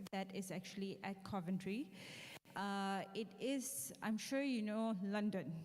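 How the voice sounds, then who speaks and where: A woman speaks with a dark, mellow tone and a somewhat breathy quality. Her pitch varies in an ordinary way, and room echo is audible. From Malaysia. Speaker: university lecturer, head of AI programs. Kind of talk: lecture. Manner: interactive, conversational.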